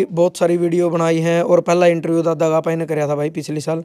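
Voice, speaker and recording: Set against a quiet background, a man's high-pitched voice carries a dark, mellow tone and a monotone, flat intonation. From Haryana. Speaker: YouTube interviewer. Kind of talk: interview. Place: street. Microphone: handheld.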